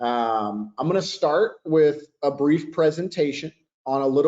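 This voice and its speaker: This man has an ordinary speaking voice at a fairly high pitch. His pitch varies in an ordinary way. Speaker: software sales executive. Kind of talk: webinar presentation.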